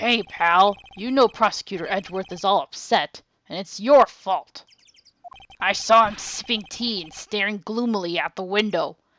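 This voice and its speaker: A female-sounding put-on character voice, medium in pitch for a woman, moves at a moderate pace. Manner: gruff.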